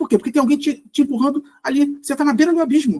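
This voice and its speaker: Very fast male speech, dry and close with no echo. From Brazil. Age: 60s. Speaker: former corporate executive. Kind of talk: podcast interview. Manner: halting.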